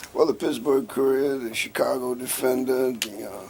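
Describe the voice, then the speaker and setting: Noticeable background noise sits behind a man talking. He speaks at a moderate pace in a fairly high pitch. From US South, coastal Georgia (Riceboro near Savannah). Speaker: labor and civil rights activist. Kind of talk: oral history interview.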